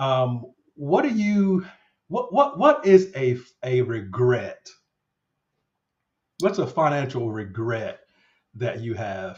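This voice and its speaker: Somewhat breathy and at a medium pitch, a man speaks very slowly with very wide pitch swings and long, frequent pauses. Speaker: finance channel host. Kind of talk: casual interview chat. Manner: halting, repetitive.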